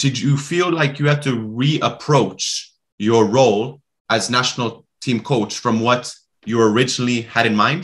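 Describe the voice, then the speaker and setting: A man with a plain, everyday voice speaks at a fairly slow pace with a medium pitch, ordinary pitch variation and very even loudness against a quiet background. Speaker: podcast host. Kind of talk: interview conversation. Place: home room. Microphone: webcam.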